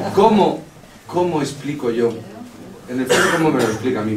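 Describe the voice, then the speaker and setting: A man at a fairly quick pace with very wide pitch swings, audible room echo and noticeable background noise. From Spain, Madrid region. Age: 60s. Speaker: audience member. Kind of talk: audience question. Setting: meeting hall with audience.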